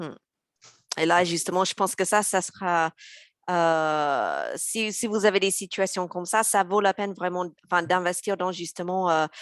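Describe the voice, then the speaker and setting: Fairly slow and with fairly even intonation, a woman's medium-pitched voice comes through. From US South, Mississippi. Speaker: intercultural and language coach. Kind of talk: webinar panel discussion. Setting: online live webinar. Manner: hesitant, many filler sounds.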